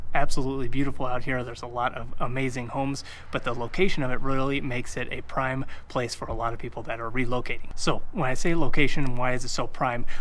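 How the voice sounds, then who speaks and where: Energetic and bright, sharp in tone, the voice races at a very fast pace with vocal fry and audible room echo. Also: man. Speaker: realtor. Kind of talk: video tour / real estate presentation. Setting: outdoors on location. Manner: energetic, casual.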